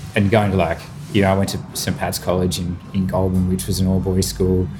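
A man with an Australian accent speaks at a moderate pace with a very deep, low pitch and ordinary pitch variation. Noticeable background noise and audible room echo surround his voice. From Australia, New South Wales country town. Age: 30s. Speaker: chef and restaurateur. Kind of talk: casual chat. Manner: animated.

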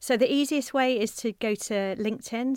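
Heard in a very clean recording with a silent background and a dry, close sound with no echo, a woman speaks with a southern English accent and ordinary pitch variation. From South Coast of England. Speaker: management consultant. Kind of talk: interview. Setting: studio.

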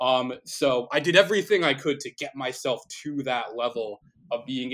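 In a normal speaking voice, a man with an American accent talks at a moderate pace and medium pitch, on a very clean recording with a silent background. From New Jersey. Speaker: baritone singer and music teacher. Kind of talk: casual interview.

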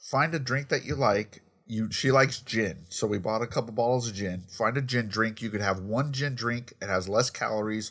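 In a very clean recording with a silent background, a man speaks at medium pitch and a moderate pace with ordinary pitch variation. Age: 40s. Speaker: podcast co-host. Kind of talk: casual chat. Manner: animated.

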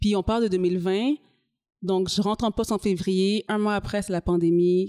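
The sound is dry and close, with no echo, and the tone is dark and mellow. Delivery comes at a moderate pace with fairly even intonation. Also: woman. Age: 30s. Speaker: community organization coordinator. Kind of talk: interview.

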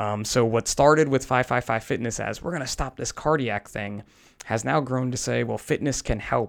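A man with an American accent speaks at a medium pitch with ordinary pitch variation, in a plain, everyday voice, on a very clean recording with a silent background. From New Jersey. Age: 40s. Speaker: firefighter. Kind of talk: interview. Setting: clinic treatment room.

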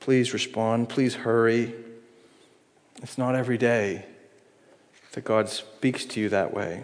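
With long, frequent pauses and a fairly slow pace, a man speaks at a medium pitch with fairly even intonation amid audible room echo. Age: 40s. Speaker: pastor. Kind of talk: sermon.

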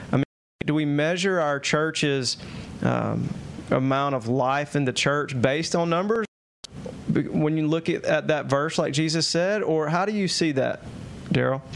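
Long, frequent pauses break up fairly slow speech whose pitch varies in an ordinary way. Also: man, fairly high pitch for a man. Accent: Southern US. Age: 30s. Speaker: podcast host. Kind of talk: casual chat. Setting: at home, video podcast.

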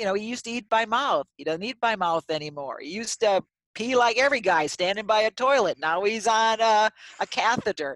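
In a very clean recording with a silent background and a dry, close sound with no echo, a woman speaks fairly quickly in an ordinary speaking voice with a fairly high pitch and lively intonation. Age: 60s. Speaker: AAC specialist speech language pathologist. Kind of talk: interview.

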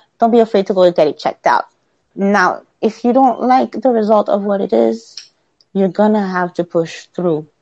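A woman speaks at medium pitch with ordinary pitch variation. It's a plain, everyday voice. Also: moderate pace, dry, close sound with no echo. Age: 30s. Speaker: single mother sharing a health crisis. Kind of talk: casual interview. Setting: sitting on the floor.

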